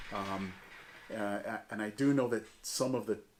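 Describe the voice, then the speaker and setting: This man has a normal speaking voice, pitched fairly low. He talks at a moderate pace with fairly even intonation. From US Northeast, Jamestown, western New York. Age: 60s. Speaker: church community member. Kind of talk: oral history interview.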